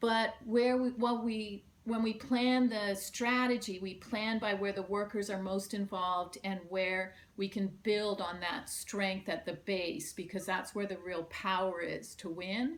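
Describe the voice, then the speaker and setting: A woman with a plain, everyday voice and a medium pitch talks at a fairly slow pace, with hardly any pauses and ordinary pitch variation. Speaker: union organizer. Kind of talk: conference presentation.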